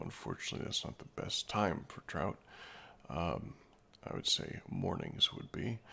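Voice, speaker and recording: A man speaks quietly. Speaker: gaming streamer. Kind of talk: live game commentary. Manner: quiet, subdued.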